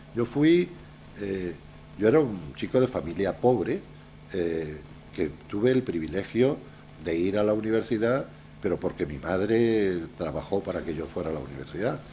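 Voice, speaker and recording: Long, frequent pauses break up a man's moderate pace as he speaks with a fairly low pitch, lively intonation and a dark, mellow tone. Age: 70s. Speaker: journalist and writer. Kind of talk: Q&A after a lecture. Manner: hesitant, many fillers.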